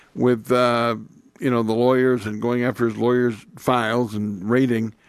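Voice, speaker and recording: An American accent marks this man's medium-pitched voice at a moderate pace, in a very clean recording with a silent background. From Indiana, US Midwest. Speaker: radio talk show host. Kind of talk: talk radio conversation.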